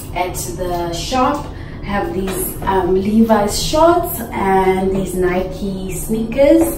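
Background noise is noticeable throughout. Over it, a woman talks. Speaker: travel vlogger. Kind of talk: casual vlog chat. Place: hall. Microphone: phone near.

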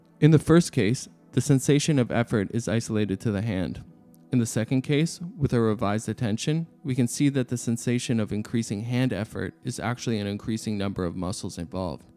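Music plays in the background as a man speaks at a fairly quick pace. His medium pitch shows ordinary variation. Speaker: philosophy video narrator. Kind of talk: educational narration.

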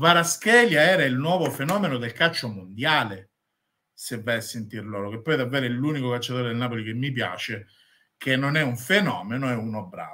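A man speaks at a moderate pace with lively intonation. His tone is bright and sharp. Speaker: football YouTuber and Inter fan. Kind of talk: angry rant, scornful football commentary. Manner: loud, indignant, sarcastic. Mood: polemical, teasing rival fans.

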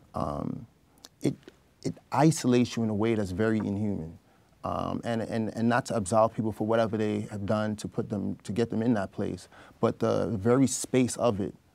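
Here a man talks at a moderate pace with ordinary pitch variation. His fairly low voice has a dark, mellow tone. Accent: New York. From Brooklyn, New York, Trinidadian family. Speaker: gun violence prevention advocate; interview guest. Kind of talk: interview. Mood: calm, reflective. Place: studio. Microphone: lapel.

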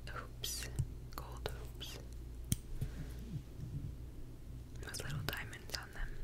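A woman's soft-spoken whispering at a very slow pace, dry with no echo, over loud background noise. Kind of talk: soft-spoken ASMR-style product review. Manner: soft close-mic ASMR whisper. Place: home room. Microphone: studio mic.

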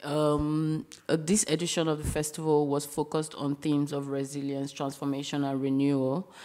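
Fairly slowly, a woman speaks in a very deep, low voice with a dark, mellow tone and flat, monotone intonation. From Nigeria. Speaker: curator; speaker. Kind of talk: lecture. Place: hall.

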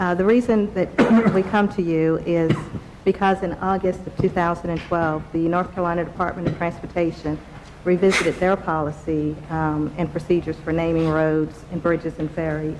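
Over noticeable background noise, a woman with a fairly low pitch talks at a moderate pace in a monotone, flat intonation. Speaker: presenter. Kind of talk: formal presentation to committee. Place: meeting room. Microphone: podium.

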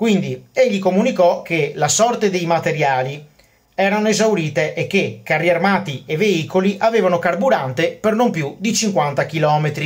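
A man's high-pitched voice with a Venetian accent, against a quiet background. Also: ordinary pitch variation, moderate pace. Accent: Venetian-accented Italian. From Veneto, Venice. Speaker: history YouTuber. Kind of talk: educational monologue about military history. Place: home room. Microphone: phone near.

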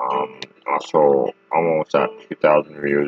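Speech comes at a very slow pace, the sound dry with no echo. Faint music plays in the background. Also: man. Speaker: small channel vlogger. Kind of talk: casual vlog chat. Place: home room. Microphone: webcam.

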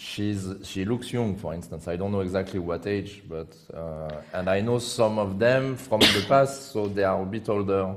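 Speaking at a moderate pace with hardly any pauses, a man with a strong French accent and a fairly low pitch shows ordinary pitch variation over light background noise. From France. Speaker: chess commentator. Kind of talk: live commentary. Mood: joking, playful anecdote. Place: studio. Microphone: headset.

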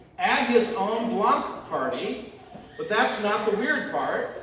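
Very slow speech with light background noise and audible room echo. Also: man. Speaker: pastor. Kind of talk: sermon. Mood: humorous storytelling. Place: church.

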